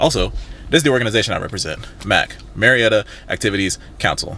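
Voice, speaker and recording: An animated man talks at a fairly quick pace. His voice has vocal fry. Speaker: vlogger and campus event planner. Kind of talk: casual vlog. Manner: fast.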